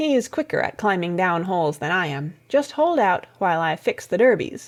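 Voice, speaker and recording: Using a put-on, gruff character voice, a woman speaks at a medium pitch and a moderate pace. Her pitch swings very widely, and the recording is very clean with a silent background. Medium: read story. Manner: gruff, sniggering.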